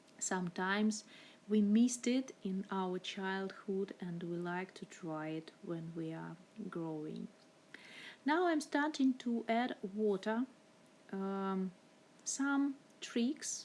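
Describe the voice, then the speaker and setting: Her intonation lively, a woman with a non-native accent talks at a very slow pace and leaves long, frequent pauses. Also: medium pitch for a woman. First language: not English. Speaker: art teacher. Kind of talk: tutorial. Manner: halting, many fillers.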